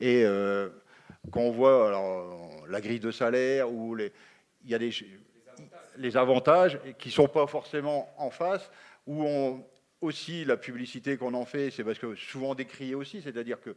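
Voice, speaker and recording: Using lively intonation and a medium pitch, a man talks with long, frequent pauses. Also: fairly slow pace. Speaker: union representative. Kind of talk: panel debate. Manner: halting, many fillers.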